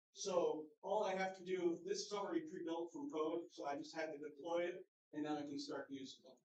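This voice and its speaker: A man with a high pitch and ordinary pitch variation talks at a fairly quick pace. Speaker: conference speaker giving a tech demo. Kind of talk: live demo talk. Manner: fast.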